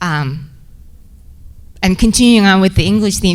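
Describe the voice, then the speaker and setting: A woman with a Korean accent and a medium pitch speaks with ordinary pitch variation amid audible room echo. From South Korea. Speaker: research associate director. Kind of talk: personal storytelling to an audience. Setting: stage at a podium. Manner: halting, with many fillers.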